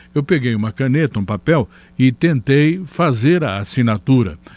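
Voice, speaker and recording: Moving at a moderate pace, a man with a medium pitch speaks with very wide pitch swings. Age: 60s. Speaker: channel host. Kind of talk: personal testimony. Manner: halting with fillers.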